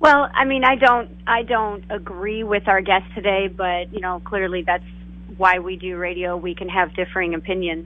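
A woman speaks at a moderate pace in a medium pitch, her intonation ordinarily varied and her loudness swinging widely. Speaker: co-host. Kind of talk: casual chat. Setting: phone call. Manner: chatty.

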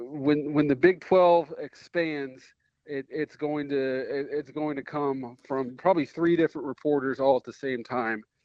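Here is a man with a fairly high pitch and an unremarkable speaking voice. His intonation stays fairly even. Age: 30s. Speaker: college football reporter. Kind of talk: casual chat.

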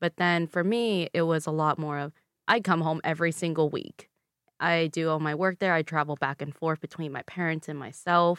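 Speaking with a Vietnamese accent, a woman with a fairly low pitch keeps a moderate pace and fairly even intonation, in a dry, close sound with no echo. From Louisville, Kentucky, US. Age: 20s. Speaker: guest, former pageant queen and public health graduate. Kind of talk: casual interview chat. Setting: studio.

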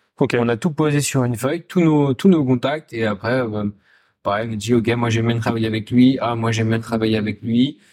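A man with a plain, everyday voice and medium pitch speaks with ordinary pitch variation on a very clean recording with a silent background. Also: fairly quick pace. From Essonne, France (Paris region). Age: 20s. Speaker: chef and restaurant co-owner. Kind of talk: casual interview chat.

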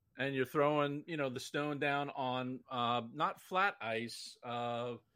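A man uses a normal speaking voice at a medium pitch with ordinary pitch variation. The recording is very clean, with a silent background. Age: 50s. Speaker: curling player. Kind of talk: casual chat.

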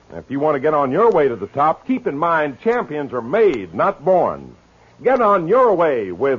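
A man with a fairly high pitch and a husky, rough edge talks at a fairly slow pace, his pitch swinging very widely.

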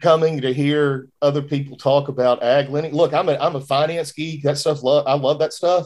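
Hardly pausing, a man speaks at a moderate pace with a fairly high pitch and a monotone, flat intonation. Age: 40s. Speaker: podcast host, banking school program director. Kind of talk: casual chat.

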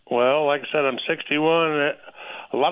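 A man talks at a moderate pace. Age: 60s. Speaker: radio caller, state worker. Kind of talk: phone-in question.

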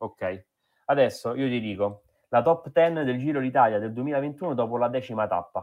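A man talks at a moderate pace and medium pitch with ordinary pitch variation. He has a plain, everyday voice. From Rome, Italy. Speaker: cycling podcast host. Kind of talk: casual chat.

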